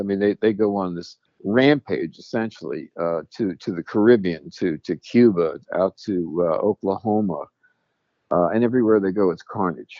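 A man with an American accent, a fairly low pitch, ordinary pitch variation and a moderate pace, with music in the background. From New York City, Queens. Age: 70s. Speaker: retired author and navy historian. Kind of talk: phone interview. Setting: phone call.

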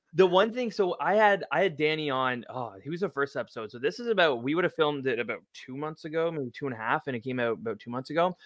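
In a very clean recording with a silent background and a dry, close sound with no echo, a man with a Canadian accent talks at a very fast pace with hardly any pauses, his fairly high pitch making very wide swings. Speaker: podcast host. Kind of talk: casual chat.

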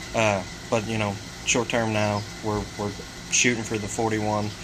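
Recorded with noticeable background noise and audible room echo, a man speaks at a fairly low pitch. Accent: American. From Missouri. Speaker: duck hunting podcast co-host. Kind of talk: casual chat.

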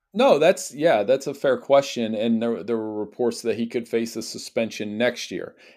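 On a very clean recording with a silent background, a man with a plain, everyday voice speaks at a medium pitch and moderate pace, with ordinary pitch variation and hardly any pauses. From Central Ohio. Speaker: college football writer. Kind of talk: interview.

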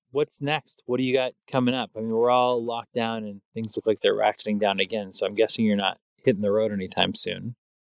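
In a normal speaking voice, a man talks at a fairly quick pace with hardly any pauses, his medium pitch carrying fairly even intonation in a dry, close sound with no echo. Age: 40s. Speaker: podcast host. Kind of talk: casual interview chat. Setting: phone call.

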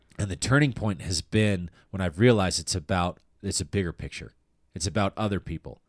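Over a silent background in a very clean recording, a man with a General American accent speaks very fast at a very deep, low pitch, with ordinary pitch variation and a dry, close sound with no echo. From Colorado, Denver area. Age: 30s. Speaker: comedian. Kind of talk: casual chat.

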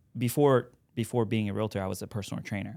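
On a very clean recording with a silent background, a man talks at a fairly low pitch. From Iran. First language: Farsi. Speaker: real estate buyer's agent. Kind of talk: casual interview chat.

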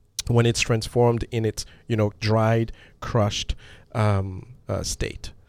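A man at a medium pitch with a French accent, speaking at a fairly slow pace, in a very clean recording with a silent background. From DR Congo and Belgium, French-speaking. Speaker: organic farm executive. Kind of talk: interview. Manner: halting, many fillers.

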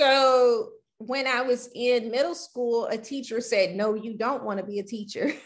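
Fairly slow speech from a woman, high in pitch, with ordinary pitch variation. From Louisiana. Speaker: realtor and educator. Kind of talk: podcast interview.

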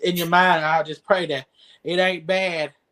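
Recorded very cleanly against a silent background, a man with a Southern US accent talks at a moderate pace in a high, bright and sharp voice with flat, monotone intonation. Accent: Southern US (Georgia). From South Georgia, US. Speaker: social media influencer. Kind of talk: casual interview.

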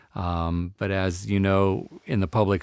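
In a very clean recording with a silent background, a man speaks with a Midwestern US accent. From northeast Ohio. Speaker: parks executive director. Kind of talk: interview.

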